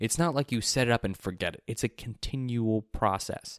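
At a fairly quick pace, a man speaks in an ordinary speaking voice, medium in pitch with ordinary pitch variation, and the sound is dry and close with no echo. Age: 20s. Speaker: podcast host. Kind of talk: solo podcast monologue. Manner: casual, conversational.

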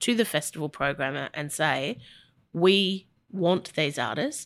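Bright and sharp in tone, a voice with an Australian accent comes through on a very clean recording with a silent background. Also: woman. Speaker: music industry executive. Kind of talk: interview conversation.

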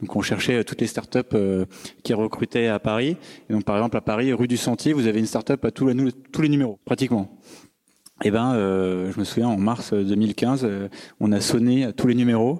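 With a medium pitch and a dark, mellow tone, a man talks at a moderate pace, fairly even in intonation and very even in loudness, on a very clean, dry, close recording with a silent background and no echo. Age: 30s. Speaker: startup founder. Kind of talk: talk with audience Q&A. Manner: hesitant, many fillers.

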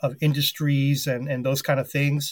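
On a very clean recording with a silent background, a man with an American accent speaks in a fairly high, somewhat breathy voice with monotone, flat intonation. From US, New York City. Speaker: sports editor. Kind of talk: interview.

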